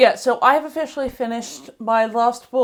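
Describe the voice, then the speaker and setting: Over a silent background in a very clean recording, a woman with an Australian accent talks at a fairly high pitch with ordinary pitch variation. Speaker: book vlogger. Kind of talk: casual vlog review. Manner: halting, self-correcting.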